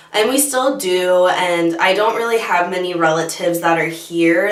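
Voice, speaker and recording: At a moderate pace, a woman with a fairly low pitch speaks over noticeable background noise and audible room echo. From Michigan, US. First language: Bosnian. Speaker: beauty youtuber. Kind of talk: casual chat.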